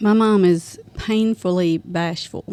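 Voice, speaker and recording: A woman speaks with a Southern US accent. Her voice has a dark, mellow tone and a fairly low pitch. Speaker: podcast guest, mother of a host. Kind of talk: casual chat.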